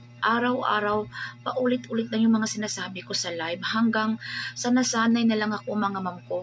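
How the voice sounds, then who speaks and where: Over music in the background, a woman talks at a fairly quick pace and a fairly high pitch. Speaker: online seller and livestreamer. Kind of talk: casual vlog talk to viewers. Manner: animated.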